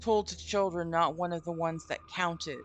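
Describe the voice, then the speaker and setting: This is a woman's voice. The pitch rises and falls in an ordinary way. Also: quiet background. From Vermont, US. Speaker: streamer. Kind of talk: reading aloud a story with live commentary. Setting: live stream from home.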